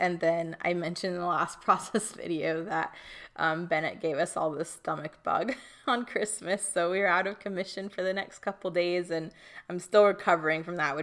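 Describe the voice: A woman puts on a hoarse, raspy character voice, pitched fairly low for a woman and delivered at a moderate pace.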